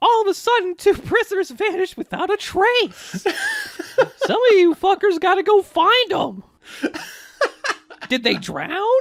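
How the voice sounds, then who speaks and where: A put-on character voice at an extremely high pitch moves at a moderate pace with long, frequent pauses. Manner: shouting, aggressive.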